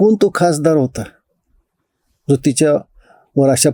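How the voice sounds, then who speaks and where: The man's voice sits at a fairly high pitch with a dark, mellow tone. It sounds dry and close, with no echo. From India, Beed district, Maharashtra. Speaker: political commentator. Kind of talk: monologue to camera.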